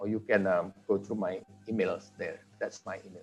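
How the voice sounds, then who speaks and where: A man's pitch swings very widely as he talks. Behind him, music is playing. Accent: Indonesian. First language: Indonesian. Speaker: conference speaker on language teaching technology. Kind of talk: academic presentation.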